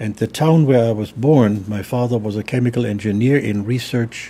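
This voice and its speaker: With a German accent, the speaker uses a dark, mellow tone that is somewhat breathy, with ordinary pitch variation at a moderate pace. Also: man. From Germany. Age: 80s+. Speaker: theologian. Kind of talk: interview. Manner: halting.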